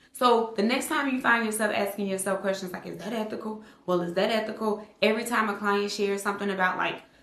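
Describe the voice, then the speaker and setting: A woman talks very fast at a medium pitch with fairly even intonation, over noticeable background noise and audible room echo. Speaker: therapist and online educator for clinicians. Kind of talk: casual talk to camera, video podcast. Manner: fast talker.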